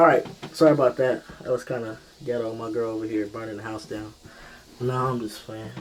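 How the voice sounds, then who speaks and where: Fairly quick speech from a man, with noticeable noise behind it. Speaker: vlogger sharing transition update. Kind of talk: casual vlog update. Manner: casual, filler-heavy.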